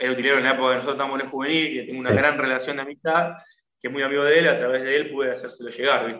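Very fast and monotone, a man speaks with a flat intonation at a fairly high pitch. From Argentina. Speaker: former footballer turned painter. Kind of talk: interview. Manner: halting.

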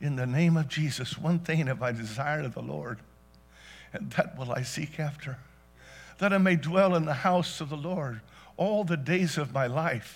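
Over background music, a man talks at a moderate pace with a fairly high pitch and ordinary pitch variation. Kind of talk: sermon. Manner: fervent, call-and-response pulpit delivery, pausing for congregation.

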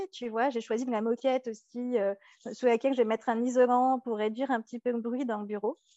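A woman speaks at a fairly quick pace in a high voice. Her intonation is flat and monotone. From Paris region, France. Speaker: interior architect and entrepreneur. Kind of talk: interview. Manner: halting, frequent repetitions and fillers.

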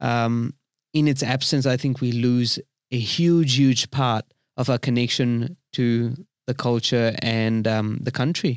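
At a very slow pace, a medium-pitched man speaks with fairly even intonation and very even loudness, in a dry, close sound with no echo on a very clean recording with a silent background. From India. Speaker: podcast guest. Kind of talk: casual chat. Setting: studio.

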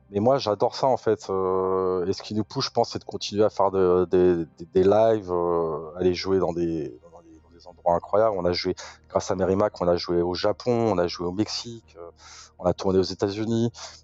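Music plays behind a man whose very deep, low voice keeps a fairly even intonation while his loudness swings widely. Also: moderate pace. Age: 40s. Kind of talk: interview.

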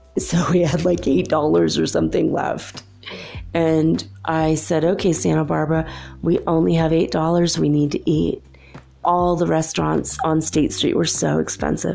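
With music playing in the background, a woman speaks at very even loudness. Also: fairly slow pace. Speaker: podcast host. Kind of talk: solo monologue. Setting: home recording at night. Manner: lower pitch than usual; quiet to avoid waking neighbors.

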